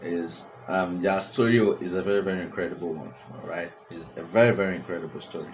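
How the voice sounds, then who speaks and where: A man with a very deep, low pitch speaks in an animated tone at a moderate pace, with ordinary pitch variation. Noticeable background noise and audible room echo come through the recording. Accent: Nigerian. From Nigeria. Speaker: celebrity gossip vlogger. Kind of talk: casual commentary to camera. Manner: animated, repetitive; frequent fillers and hesitations.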